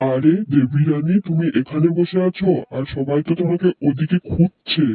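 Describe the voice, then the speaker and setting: A man puts on a cartoonish character voice with a fairly high pitch. He speaks at a fairly slow pace. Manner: insinuating, flattering.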